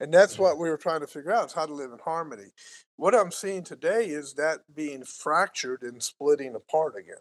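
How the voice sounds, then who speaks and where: An unremarkable speaking voice, a man talks at a fairly quick pace in a fairly high pitch with lively intonation and big swings in loudness, the sound dry and close with no echo. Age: 60s. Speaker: podcast co-host. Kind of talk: casual chat.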